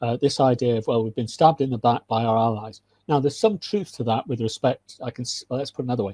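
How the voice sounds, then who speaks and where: A man with a British accent, medium pitch, ordinary pitch variation and a dark, mellow, somewhat breathy tone, hardly any pauses, in a dry, close recording with no echo. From UK. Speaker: military analyst and lecturer. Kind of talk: interview. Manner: halting, many restarts.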